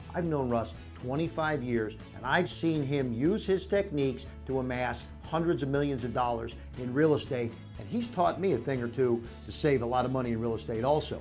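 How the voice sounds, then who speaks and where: Faint music plays in the background. Over it, a man talks with lively intonation. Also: fairly quick pace. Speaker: entrepreneur, TV businessman. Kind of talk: infomercial endorsement. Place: meeting room. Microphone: lapel.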